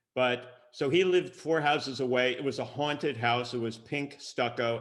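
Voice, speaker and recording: A man with a Long Island accent talks at a moderate pace, his medium pitch showing ordinary variation. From Long Island, New York. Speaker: creativity workshop leader. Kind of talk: casual talk to kids.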